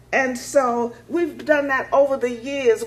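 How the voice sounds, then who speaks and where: A woman is speaking. She has an American accent. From Washington DC. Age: 80s+. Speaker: music nonprofit founder and advocate. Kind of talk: public speech to an audience. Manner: animated.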